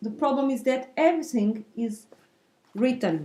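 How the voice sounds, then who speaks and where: Very slow speech from a woman with a Portuguese accent, fairly high in pitch, dark and mellow in tone, with lively intonation. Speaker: knitting videocaster. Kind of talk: tutorial. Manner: halting, with fillers.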